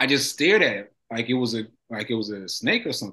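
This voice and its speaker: Moderate speed from a male speaker. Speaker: stroke survivor. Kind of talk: interview. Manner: articulate, sounds like a professor.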